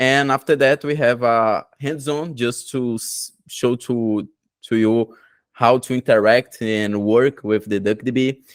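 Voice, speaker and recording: Recorded very cleanly with a silent background and a dry, close sound with no echo, a man with a Brazilian Portuguese accent speaks at medium pitch and a fairly slow pace with fairly even intonation. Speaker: tech conference presenter. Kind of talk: technical presentation. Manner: halting, many fillers.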